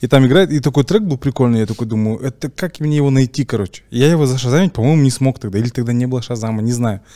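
Against a quiet background, a man with a dark, mellow tone speaks at a very fast pace with ordinary pitch variation. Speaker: podcast host. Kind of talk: casual storytelling in interview. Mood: relaxed, amused. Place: studio. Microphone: studio mic.

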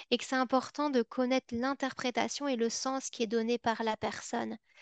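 With a Belgian accent, a woman speaks at a moderate pace and high pitch in a monotone, flat intonation, with a dry sound with no echo over a quiet background. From Belgium. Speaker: psychology and education researcher, former special educator; former special educator. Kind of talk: webinar lecture. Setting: online webinar. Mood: engaged, slightly playful. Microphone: webcam.

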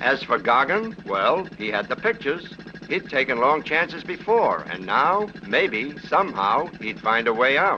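A fairly high-pitched man at a fairly slow pace, very wide pitch swings, noticeable background noise. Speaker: film narrator. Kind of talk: scripted 1950s newsreel-style narration. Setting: archive film soundtrack. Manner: brisk, wry, punchy; dramatic, tough-guy storyteller.

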